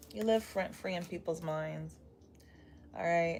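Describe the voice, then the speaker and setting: With music playing behind her, a woman speaks at a moderate pace in a very deep, low pitch. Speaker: tarot reader. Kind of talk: live tarot reading stream. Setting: livestream with live chat. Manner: casual, chatty.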